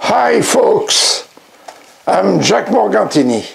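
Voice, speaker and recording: Very slow speech in a French accent over noticeable background noise. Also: man. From France. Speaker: blues record collector and producer. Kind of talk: award acceptance speech. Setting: recorded at home in his record room.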